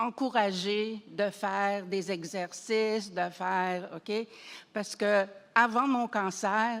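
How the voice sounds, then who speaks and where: Recorded very cleanly against a silent background, a woman speaks at a very slow pace and medium pitch with fairly even intonation. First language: not French (French is third language) (speaking French). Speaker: audience member, cancer survivor. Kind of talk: audience question. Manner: halting.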